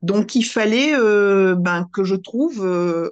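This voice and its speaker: Here a woman talks at a medium pitch. Her intonation is lively. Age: 60s. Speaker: retired teacher sharing diet program testimony. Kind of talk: testimony interview. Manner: hesitant, many fillers.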